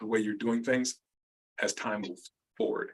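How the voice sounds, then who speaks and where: A man at a medium pitch and a fairly quick pace. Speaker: accounting consultant. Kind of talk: webinar presentation. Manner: fast.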